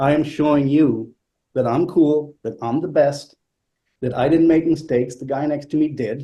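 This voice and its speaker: With a dark, mellow tone and a somewhat breathy quality, a man speaks at a fairly high pitch and a moderate pace. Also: fairly even intonation. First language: not English. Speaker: classical flutist. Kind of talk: talk. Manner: halting, repeats words.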